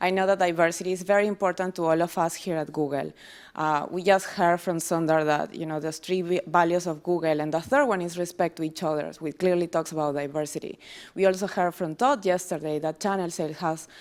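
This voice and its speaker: A woman with a Peruvian accent at a very fast pace, fairly low in pitch with ordinary pitch variation, on a very clean recording with a silent background. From Peru, small town south of Lima. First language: Spanish. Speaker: tech company employee giving a talk. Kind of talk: speech to audience. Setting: stage with audience.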